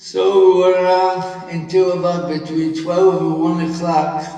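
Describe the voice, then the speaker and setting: A man with a high voice speaks in a flat, monotone way. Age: 80s+. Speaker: Holocaust survivor. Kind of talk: talk to an audience.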